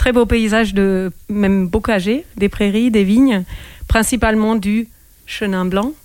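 Very slow speech from a woman at medium pitch with fairly even intonation. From Germany. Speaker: winegrower. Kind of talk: radio interview. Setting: radio studio, wearing a mask. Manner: halting.

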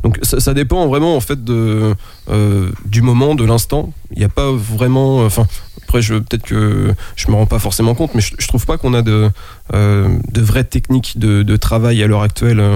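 A man speaks at medium pitch with very even loudness. He keeps a moderate pace and ordinary pitch variation. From France, Nantes. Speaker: rapper. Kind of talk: casual chat. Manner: halting.

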